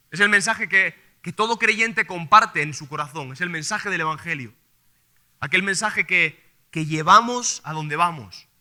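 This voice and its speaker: In a very clean recording with a silent background, a man with a Castilian accent speaks at a moderate pace. His voice is high-pitched, bright and sharp, with ordinary pitch variation. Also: big swings in loudness. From Spain. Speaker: preacher. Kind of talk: sermon.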